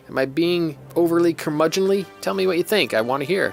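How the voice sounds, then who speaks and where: Over music in the background, a man talks very fast with a fairly high pitch and lively intonation. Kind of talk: casual podcast monologue.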